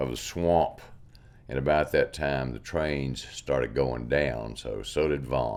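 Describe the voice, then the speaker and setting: Speaking very slowly with a Mississippi accent, a man uses a very deep, low pitch and ordinary pitch variation. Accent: Southern US (Mississippi). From US South, Mississippi (Yazoo County). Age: 70s. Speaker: artist. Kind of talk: interview. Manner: halting, repeats words.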